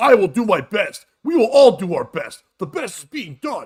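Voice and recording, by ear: Speaking at a moderate pace, a man puts on a character voice with an American accent, pitched extremely high.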